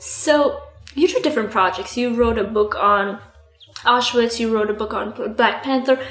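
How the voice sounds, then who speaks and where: Pitch moves in an ordinary way at a moderate pace. Long pauses come often, with noticeable background noise. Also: woman, fairly high pitch for a woman. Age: 20s. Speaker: podcast host. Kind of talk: interview.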